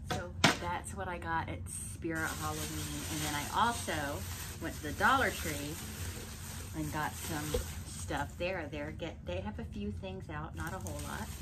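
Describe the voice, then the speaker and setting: Loud background noise behind a woman talking at a fairly slow pace. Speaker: haul vlogger. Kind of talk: casual vlog chat. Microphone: phone near.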